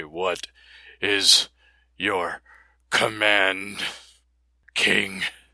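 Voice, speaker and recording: Putting on a character voice, a man speaks raspy and fairly low in pitch with a monotone, flat intonation. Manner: formal, obedient.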